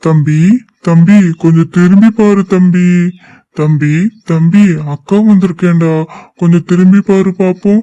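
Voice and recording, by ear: In a cartoonish character voice, a man with a high pitch speaks at a very slow pace.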